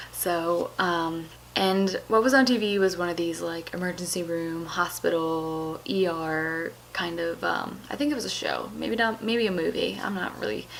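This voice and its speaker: Moderate-paced female speech amid noticeable background noise and audible room echo. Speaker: YouTuber. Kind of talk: casual vlog talk about personal experience. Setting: home basement at night. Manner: hesitant with fillers.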